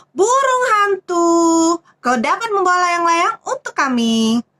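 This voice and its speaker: A woman's put-on character voice, extremely high-pitched with very wide pitch swings, at a fairly slow pace. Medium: read story. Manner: bossy, orderly.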